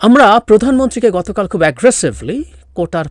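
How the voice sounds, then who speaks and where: Man's voice with vocal fry in a dry, close sound with no echo. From Bangladesh, Rangamati hill district. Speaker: political commentator. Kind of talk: political commentary.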